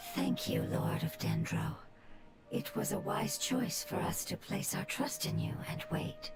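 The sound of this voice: In a put-on character voice of medium pitch, a woman speaks fairly slowly with very wide pitch swings and vocal fry as faint music plays in the background.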